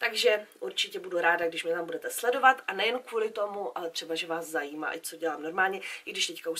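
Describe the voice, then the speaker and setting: The voice moves at a fairly quick pace, its tone bright and sharp, with ordinary pitch variation. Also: woman. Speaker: beauty vlogger. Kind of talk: casual vlog chat.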